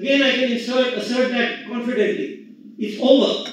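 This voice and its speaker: Extremely high-pitched male voice at a moderate pace, with audible room echo and noticeable background noise. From India. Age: 70s. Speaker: economist. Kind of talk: conference talk.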